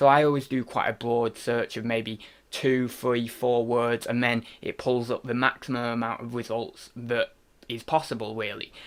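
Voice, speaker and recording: A man talks in a flat monotone at medium pitch. The recording is very clean, with a silent background. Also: moderate pace. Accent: British. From UK. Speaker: online reseller. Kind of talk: tutorial. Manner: casual, with fillers.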